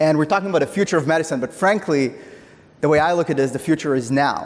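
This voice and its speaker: With an Israeli accent, a man talks very fast at a fairly high pitch, using ordinary pitch variation and keeping his loudness very even. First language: Hebrew. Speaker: tech company CEO. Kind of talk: conference talk.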